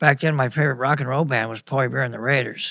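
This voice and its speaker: A man with an American accent speaks at a medium pitch with ordinary pitch variation. His tone is bright and sharp, with vocal fry. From US Midwest (Kansas, Dubuque, Iowa). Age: 60s. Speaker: local musician and storyteller. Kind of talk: casual interview.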